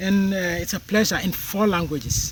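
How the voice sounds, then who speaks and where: A man speaks at a moderate pace. Noticeable noise sits in the background. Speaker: political commentator. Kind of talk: monologue commentary.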